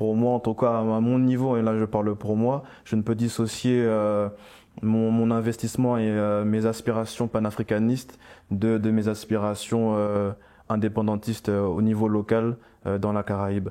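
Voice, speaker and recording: A man talks with monotone, flat intonation and very even loudness at a moderate pace. His fairly low voice has a dark, mellow tone over a quiet background. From French Antilles (Guadeloupe/Martinique heritage). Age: 20s. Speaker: panafricanist activist. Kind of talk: round-table discussion. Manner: halting, many fillers.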